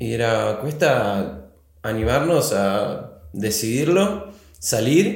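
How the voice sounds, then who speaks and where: In a Rioplatense accent, a man speaks very slowly at a medium pitch with very wide pitch swings and vocal fry, in audible room echo. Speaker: writer and screenwriter. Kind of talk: interview. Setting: studio.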